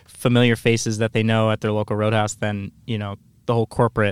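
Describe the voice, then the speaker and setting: A man with a Midwestern American accent talks at a fairly quick pace and medium pitch. The recording is very clean with a silent background and a dry, close sound with no echo. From Iowa, Quad Cities. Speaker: restaurant marketing employee. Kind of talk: casual chat. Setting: studio.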